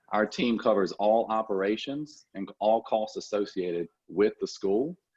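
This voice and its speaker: The speaker has a strong Southern accent. Delivery is at a moderate pace with ordinary pitch variation. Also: man. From Louisiana. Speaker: dental assisting school executive. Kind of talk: podcast interview. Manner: hesitant fillers.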